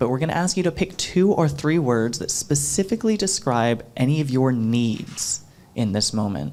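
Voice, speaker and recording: Against a silent background in a very clean recording, a man with a plain, everyday voice speaks at a moderate pace, with fairly high pitch and lively intonation. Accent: American. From US South, Florida. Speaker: workshop facilitator. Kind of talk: workshop presentation. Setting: stage with audience.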